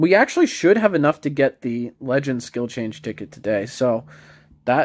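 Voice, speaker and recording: A man talks at a moderate pace in a medium-pitched voice. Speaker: mobile game YouTuber. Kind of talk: casual gameplay commentary. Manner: mumbling; hesitant, many fillers.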